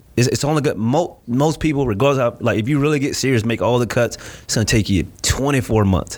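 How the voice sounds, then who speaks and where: A man with an American accent, an ordinary speaking voice, ordinary pitch variation and a moderate pace. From Florida. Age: 30s. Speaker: gym owner and marketing entrepreneur. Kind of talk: casual interview.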